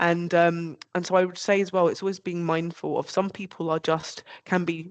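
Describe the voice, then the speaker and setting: A woman with an unremarkable speaking voice talks at a moderate pace in a fairly low pitch with fairly even intonation. The sound is dry and close with no echo, over a quiet background. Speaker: panelist. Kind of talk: panel discussion. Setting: video call.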